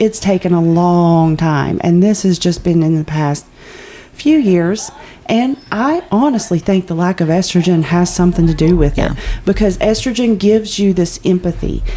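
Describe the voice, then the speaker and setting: A woman's voice at a moderate pace with ordinary pitch variation and noticeable background noise. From Appalachia. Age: 40s. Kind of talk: casual podcast conversation.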